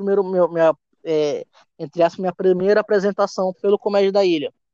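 A man with a Maranhão accent speaks at a high pitch in a dark, mellow tone. The sound is dry and close, with no echo. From Maranhão, Brazil. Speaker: stand-up comedian. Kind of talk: casual chat. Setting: remote call.

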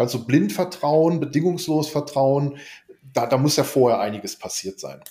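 Speaking at a moderate pace, a man uses a plain, everyday voice that sits fairly high, with ordinary pitch variation. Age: 50s. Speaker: business coach. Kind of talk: casual business discussion. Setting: video call.

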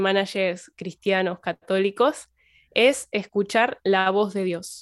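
A woman speaks at a medium pitch and a very slow pace in a very clean recording with a silent background. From Argentina, Santa Fe province. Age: young. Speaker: religion teacher and community manager. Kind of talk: podcast interview. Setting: at home.

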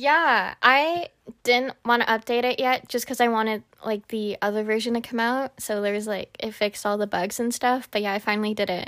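A woman with an unremarkable speaking voice talks at a moderate pace, fairly high pitch and ordinary pitch variation on a very clean recording with a silent background. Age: 20s. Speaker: podcast co-host. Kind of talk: casual chat.

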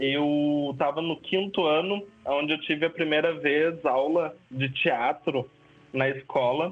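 Very slow delivery with fairly even intonation. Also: man, fairly high pitch for a man. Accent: southern Brazilian. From southern Brazil, São Leopoldo (Rio Grande do Sul). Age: 20s. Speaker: actor and photographer. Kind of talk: casual interview chat.

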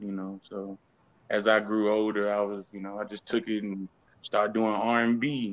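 A man speaks in an ordinary speaking voice, fairly low in pitch, at a moderate pace, with fairly even intonation but big swings in loudness. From Houston, Texas. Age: 30s. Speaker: rapper. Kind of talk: casual interview chat.

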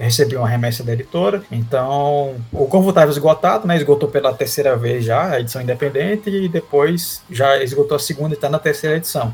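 A man's fairly high-pitched voice comes through with noticeable background noise around it. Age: 30s. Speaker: comic artist and illustrator. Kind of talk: casual interview chat.

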